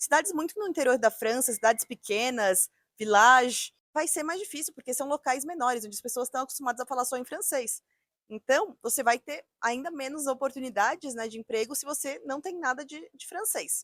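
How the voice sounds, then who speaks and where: The speaker talks at a fairly quick pace with lively intonation and big swings in loudness. The sound is dry and close, with no echo. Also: woman, high pitch for a woman. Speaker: youtuber, working-holiday visa mentor. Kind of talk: video tutorial / advice vlog. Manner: conversational, direct to camera.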